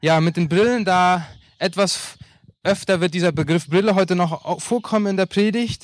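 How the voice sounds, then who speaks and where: This man's voice sits at a high pitch. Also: very clean recording, silent background. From Paraguay, Asunción. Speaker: pastor. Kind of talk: sermon.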